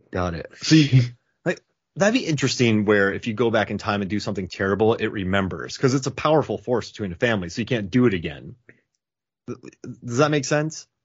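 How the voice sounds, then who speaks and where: A man with a plain, everyday voice speaks at a fairly quick pace with a medium pitch and lively intonation. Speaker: podcast co-host. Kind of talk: casual chat.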